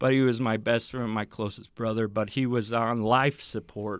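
In a normal speaking voice, a man with an American accent talks at a medium pitch with fairly even intonation. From Utah (Provo). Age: 30s. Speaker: former prison inmate, youth speaker. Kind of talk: testimony.

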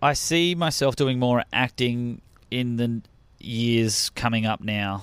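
On a very clean recording with a silent background, a man with an Australian accent speaks in a medium pitch at a very slow pace. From Melbourne, Australia. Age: 30s. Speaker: stand-up comedian. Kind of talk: casual interview chat. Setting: studio.

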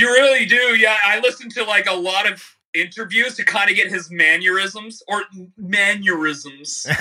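A man's raised, projected voice, high-pitched with ordinary pitch variation, at a moderate pace. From Canada, Niagara area. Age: 30s. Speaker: YouTube musician and comedian. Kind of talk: casual interview chat.

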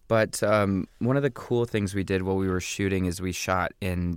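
Recorded very cleanly against a silent background, a man with an American accent speaks in a very deep, low voice with fairly even intonation and a dry, close sound with no echo. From US Midwest, small-town Indiana. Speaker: actor and comedian. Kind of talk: casual interview.

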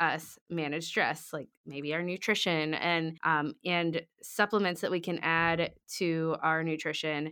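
A woman with an unremarkable speaking voice talks in a fairly low pitch at a fairly slow pace, in a very clean recording with a silent background. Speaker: podcast host. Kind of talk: casual interview chat.

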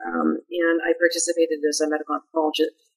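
A woman with an American accent speaks in a fairly low pitch. The sound is dry and close, with no echo. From US Midwest, Madison, Wisconsin. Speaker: anthropology professor. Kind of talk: interview.

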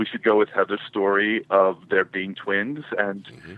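A man's normal speaking voice, fairly low in pitch, at a moderate pace with fairly even intonation. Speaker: caller. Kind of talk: casual chat. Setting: phone call.

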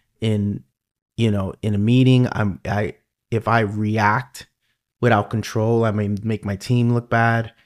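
Heard on a very clean recording with a silent background, a voice with a New York accent speaks at a fairly slow pace in a monotone, flat intonation. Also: man, fairly low pitch for a man. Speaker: podcast host. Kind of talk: casual interview chat.

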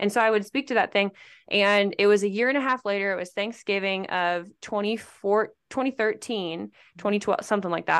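Delivered at a fairly quick pace in a normal speaking voice, the speech has an American accent and ordinary pitch variation over a quiet background. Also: woman, medium pitch for a woman. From Nebraska. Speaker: pageant coach and former beauty queen. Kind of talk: casual chat.

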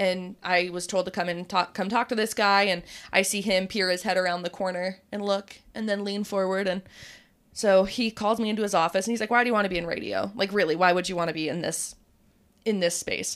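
A woman with a plain, everyday voice speaks at a fairly quick pace, a medium pitch and fairly even intonation, on a very clean recording with a silent background. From Utah. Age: 20s. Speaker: radio DJ. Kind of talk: casual chat.

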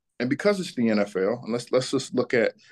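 With an American accent, a man speaks at medium pitch over a quiet background. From Atlanta, Georgia (US South). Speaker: financial advisor, former pro athlete. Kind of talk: interview.

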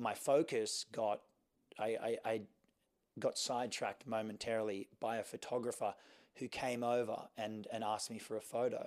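With an Australian accent, a man speaks at a moderate pace in a medium pitch with fairly even intonation. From Sydney, Australia. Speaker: fashion model. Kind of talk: interview.

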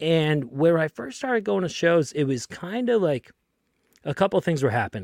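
A man with an American accent at a moderate pace, with very wide pitch swings, in a very clean, silent recording that sounds dry and close with no echo. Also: fairly high pitch for a man. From Lynn, Massachusetts (Boston area). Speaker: podcast guest. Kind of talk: casual chat.

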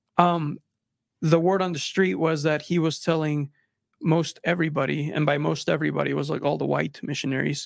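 A man with a Spanish accent speaks at a fairly quick pace, his pitch fairly high. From Mexico (Monterrey), raised in Texas from age nine. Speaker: filmmaker. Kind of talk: podcast interview. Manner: halting, many repeated words and fillers.

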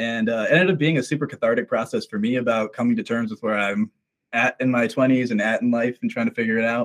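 Very fast speech in an American accent with fairly even intonation and a dry, close sound with no echo. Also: man, medium pitch for a man. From Minnesota, US. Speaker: musician. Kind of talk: casual interview.

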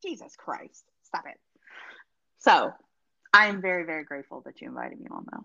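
A woman speaks at a fairly quick pace but leaves long, frequent pauses. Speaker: guest being quizzed. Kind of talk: casual banter, comedic quiz. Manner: jokey, chatty.

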